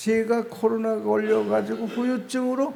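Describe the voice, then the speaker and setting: A man's high-pitched voice at a very slow pace, with audible room echo and noticeable background noise. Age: old. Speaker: pastor. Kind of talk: sermon. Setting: prayer retreat revival meeting. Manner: slow speech.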